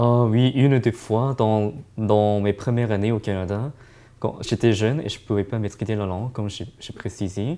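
A man's fairly low voice with a dark, mellow tone and fairly even intonation. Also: moderate pace. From East Asia. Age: young. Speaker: student; interviewee. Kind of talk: interview. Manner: halting. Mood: calm, reflective. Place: meeting room.

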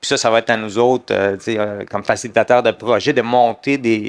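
Against a quiet background, a man speaks fairly slowly in an ordinary speaking voice at a medium pitch. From Middle East. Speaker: lawyer. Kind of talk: panel discussion. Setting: conference stage with audience. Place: stage. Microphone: headset.

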